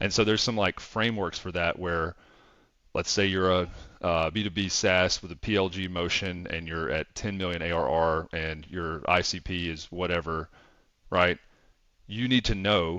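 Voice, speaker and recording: Speaking at a moderate pace with a Southern accent, a man uses a very deep, low pitch and fairly even intonation, his tone bright and sharp against a quiet background. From US South. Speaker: revenue operations consultant. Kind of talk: casual chat.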